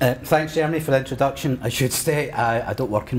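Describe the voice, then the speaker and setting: A man with a Scottish accent, talking very fast with ordinary pitch variation, over noticeable background noise. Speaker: history lecturer. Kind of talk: lecture.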